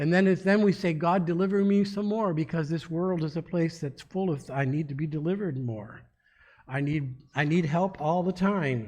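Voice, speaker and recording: Using ordinary pitch variation, a man talks in a high voice. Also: moderate pace. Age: 60s. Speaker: pastor. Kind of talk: sermon. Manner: halting.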